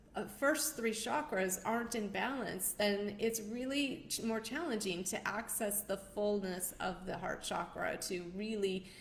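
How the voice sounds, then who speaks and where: Audible room echo surrounds a woman whose somewhat breathy voice moves at a fairly slow pace. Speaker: numerologist and show host. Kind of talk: live stream talk. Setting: livestream.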